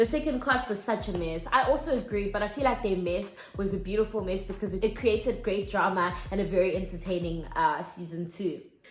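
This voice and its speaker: Music plays in the background and the room echo is audible. A woman talks at a fairly quick pace at medium pitch, with ordinary pitch variation. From South Africa. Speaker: YouTuber. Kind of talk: casual vlog commentary. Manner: animated.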